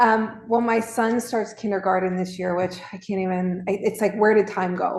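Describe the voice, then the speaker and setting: A woman with an American accent has an ordinary speaking voice, a medium pitch, fairly even intonation and a moderate pace. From Maryland, US (northeast Baltimore suburbs). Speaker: nurse and fitness community founder. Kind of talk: interview.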